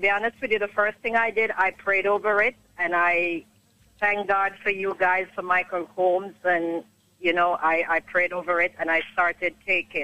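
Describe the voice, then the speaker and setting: A woman's normal speaking voice at a moderate pace, with very even loudness. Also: medium pitch for a woman, fairly even intonation. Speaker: caller. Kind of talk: testimony. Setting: phone call.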